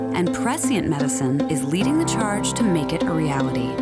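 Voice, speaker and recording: Music plays in the background. A woman talks with very wide pitch swings. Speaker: voice actor. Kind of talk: TV commercial read.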